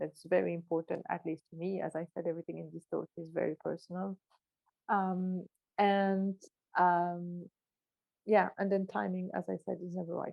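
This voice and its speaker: With long, frequent pauses, a woman speaks at a moderate pace in a fairly low, monotone, flat voice. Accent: strong French. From Belgium, Brussels. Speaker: neuroscientist. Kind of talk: talk at online event. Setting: online event.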